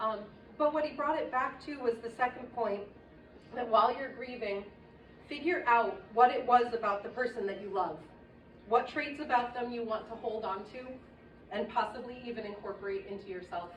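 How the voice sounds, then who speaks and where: A woman talks at a moderate pace and fairly high pitch, with ordinary pitch variation, big swings in loudness and long, frequent pauses. Audible room echo and noticeable background noise surround her. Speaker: friend of the deceased giving a eulogy. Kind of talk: eulogy. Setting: memorial service. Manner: stammering.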